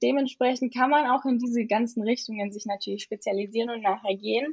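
A woman's unremarkable speaking voice, fairly high in pitch, at a moderate pace with fairly even intonation. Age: young. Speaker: university student. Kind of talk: casual interview.

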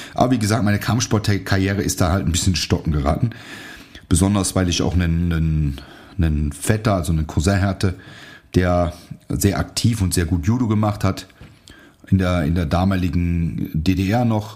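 A man talks at a moderate pace with a very deep, low pitch. He leaves long, frequent pauses. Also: ordinary pitch variation. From Germany, near Aachen. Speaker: martial arts instructor and podcast host. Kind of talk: casual solo podcast monologue.

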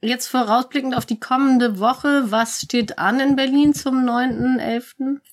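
Her voice high-pitched and her intonation fairly even, a woman speaks at a very slow pace. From Hamburg. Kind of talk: casual chat.

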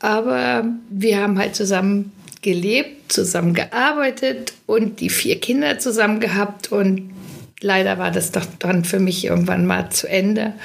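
Using an ordinary speaking voice, a woman of medium pitch speaks at a fairly slow pace with lively intonation. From western Germany, Witten/Herdecke area. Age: 60s. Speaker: caterer. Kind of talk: casual chat. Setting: studio.

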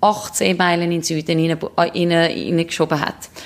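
A woman is speaking. She has a Swiss accent. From Switzerland. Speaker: ocean rower and ultramarathon runner. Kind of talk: interview. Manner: halting.

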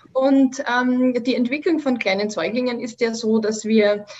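In an Austrian accent, a woman speaks at a moderate pace with a somewhat breathy voice. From Austria, Vienna. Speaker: Montessori educator. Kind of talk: interview.

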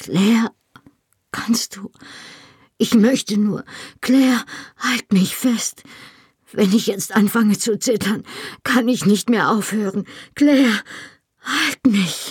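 In a shrill, put-on character voice, someone speaks at a fairly slow pace with long, frequent pauses. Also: female-sounding voice, fairly high pitch for a woman. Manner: desperate, pleading.

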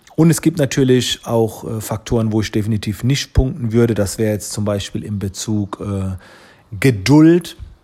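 A man speaks at a moderate pace with lively intonation and medium pitch. His tone is dark and mellow. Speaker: photographer and social media entrepreneur. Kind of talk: interview answers. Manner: frequent hesitation fillers.

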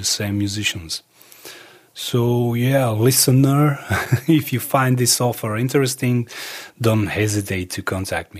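A man speaks at a fairly slow pace with a Serbo-Croatian accent. His pitch sits in the medium range. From Croatia, Dalmatia, then Serbia. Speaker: musician and filmmaker. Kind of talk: interview.

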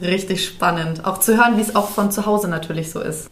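A woman at a fairly low pitch and fairly quick pace, amid noticeable background noise and audible room echo. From Bavaria, Dachau. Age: 20s. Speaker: podcast host, childcare educator. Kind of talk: casual chat. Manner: animated.

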